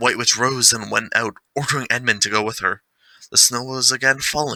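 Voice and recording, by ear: Reading aloud in a natural voice, with fairly even intonation, against a quiet background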